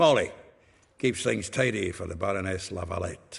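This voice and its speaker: A man puts on a raspy character voice, fairly low in pitch and moderate in pace. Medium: video game. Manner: chuckling, gossipy.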